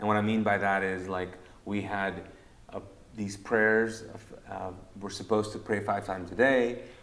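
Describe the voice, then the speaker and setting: There is audible room echo as a man speaks at a fairly low pitch. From Kuwait, Pakistani family. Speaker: pastor and podcast host. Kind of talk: casual chat.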